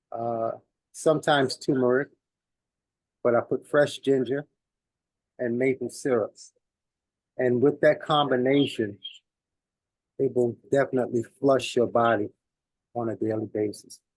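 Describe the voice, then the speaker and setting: With a New York accent, a man speaks with fairly even intonation and long, frequent pauses. The sound is dry and close, with no echo. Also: medium pitch for a man, moderate pace. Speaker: community elder giving health talk. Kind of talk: speech at community celebration. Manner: halting, many fillers.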